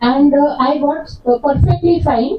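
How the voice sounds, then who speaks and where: A woman with a Gujarati accent and a high pitch. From India, raised in Kolkata, Gujarati family. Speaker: homeopathy lecturer. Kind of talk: lecture.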